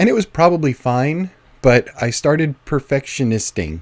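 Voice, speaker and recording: A man at medium pitch, in a dry, close sound with no echo. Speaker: writer and video blogger. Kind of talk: casual Q&A monologue. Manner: fillers, says um and uh often; tends to speak fast.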